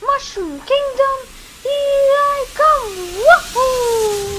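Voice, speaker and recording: A squeaky, put-on character voice at an extremely high pitch drags along at a very slow pace. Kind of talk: not a pro voice actor. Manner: excited.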